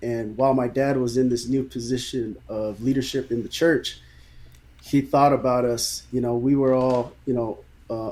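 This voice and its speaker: A man speaks with an American accent and a dark, mellow tone. His intonation stays monotone and flat. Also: medium pitch for a man, moderate pace. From San Francisco Bay Area, California. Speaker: pastor. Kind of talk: podcast interview, personal story.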